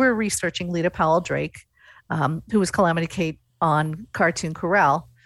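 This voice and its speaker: Here is a woman with a plain, everyday voice and an American accent, speaking at a fairly quick pace. Pitch variation is ordinary, and the recording is very clean with a silent background. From central Nebraska. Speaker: podcast host. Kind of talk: casual interview.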